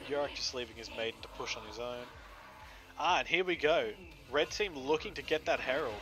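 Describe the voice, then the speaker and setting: Over music in the background, a man talks with ordinary pitch variation and long, frequent pauses. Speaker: esports shoutcaster. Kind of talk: live game commentary.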